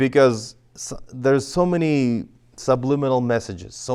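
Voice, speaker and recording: At a medium pitch, a man talks with ordinary pitch variation. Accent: Russian. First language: Russian. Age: 40s. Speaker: interpretation instructor. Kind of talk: lecture. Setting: church classroom. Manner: many fillers and restarts.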